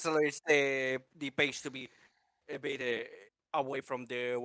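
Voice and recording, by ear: Reading aloud in a natural voice, fairly even intonation, quiet background.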